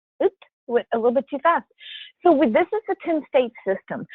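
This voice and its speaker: A woman with a South Louisiana accent lets her pitch swing very widely as she speaks. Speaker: cruise line sales representative. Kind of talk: sales presentation. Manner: casual, filler-heavy.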